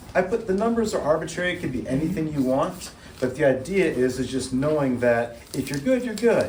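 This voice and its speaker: In a room with audible echo, a man talks at a fairly quick pace, his fairly high voice making very wide pitch swings. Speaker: therapist leading a church workshop. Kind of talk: workshop talk. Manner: fast.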